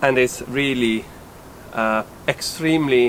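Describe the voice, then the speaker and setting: A man with an Italian accent talks at a fairly slow pace. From Italy. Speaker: sailing vlogger, boat owner. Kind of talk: boat tour walkthrough. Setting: outdoors on a sailboat. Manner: hesitant, many filler sounds.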